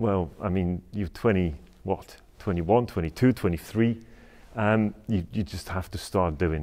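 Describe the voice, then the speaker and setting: A man with a Polish accent speaks in a very deep, low voice with a dark, mellow tone. He talks at a fairly slow pace on a very clean recording with a silent background. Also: ordinary pitch variation. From Poland. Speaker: bespoke tailor and entrepreneur. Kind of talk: university talk. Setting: lecture hall with student audience. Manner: hesitant, many fillers; passionate.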